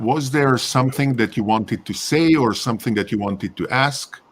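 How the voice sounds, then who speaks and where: A speaker with a Hungarian accent talks with lively intonation. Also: man. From Hungary, Budapest. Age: old. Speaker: live stream host. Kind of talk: casual chat.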